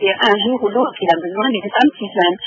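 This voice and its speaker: A woman speaks at a fairly high pitch with lively intonation. Noticeable background noise runs underneath. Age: 60s. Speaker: caller. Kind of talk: testimony. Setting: phone call. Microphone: echo on phone line.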